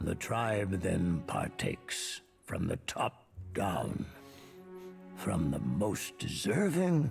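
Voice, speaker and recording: A man uses a put-on character voice, very deep and low, at a very slow pace with long, frequent pauses. His loudness stays very even over faint music in the background. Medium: video game. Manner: slow, formal and grave.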